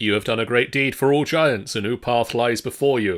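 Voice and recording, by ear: A booming, put-on character voice from a man, medium in pitch, at a moderate pace, on a very clean recording with a silent background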